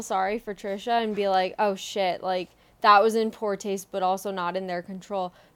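A woman in a normal speaking voice at a moderate pace, on a very clean recording with a silent background. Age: 20s. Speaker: podcast co-host. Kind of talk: casual chat. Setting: at her parents' home.

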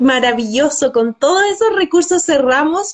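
A woman with a Chilean accent, fairly slow in pace and lively in intonation. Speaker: host and researcher. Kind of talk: interview.

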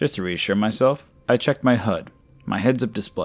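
Simply plain reading aloud

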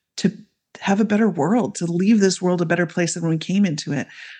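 A plain, everyday voice, a woman with a Canadian accent, fairly low in pitch with ordinary pitch variation, quiet background. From Canada. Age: 40s. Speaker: midwife and women's coach. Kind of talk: casual interview chat.

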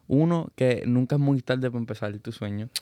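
In a dark, mellow tone, a man speaks at a moderate pace with ordinary pitch variation, the sound dry and close with no echo. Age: 20s. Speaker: podcast host. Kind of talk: casual chat.

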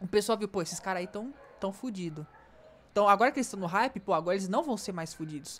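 Speaking at a very fast pace, the woman has a medium pitch. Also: lively intonation. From Rio de Janeiro. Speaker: podcast co-host. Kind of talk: casual chat. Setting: remote recording.

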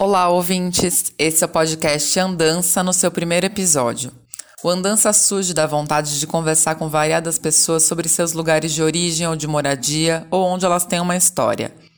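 Over noticeable background noise, a woman with a fairly low pitch talks at a moderate pace with fairly even intonation. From São Paulo metro area, Brazil (Caieiras). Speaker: podcast host, journalist. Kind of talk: interview.

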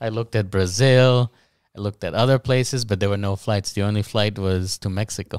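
A man with an American accent and a plain, everyday voice speaks at a fairly quick pace in a fairly low pitch with fairly even intonation, in a very clean recording with a silent background and a dry, close sound with no echo. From US, Guatemalan family. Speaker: English teacher. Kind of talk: casual interview chat.

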